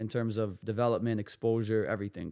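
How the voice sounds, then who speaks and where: An unremarkable speaking voice in a Canadian accent moves at a moderate pace on a very clean recording with a silent background. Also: man. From Canada, Toronto. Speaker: basketball trainer and coach. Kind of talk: casual chat.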